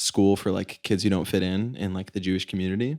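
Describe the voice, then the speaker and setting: A man speaks in an ordinary speaking voice with an American accent and fairly even intonation. The recording is very clean, with a silent background. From US, South Florida. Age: 20s. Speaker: singer-songwriter. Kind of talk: interview.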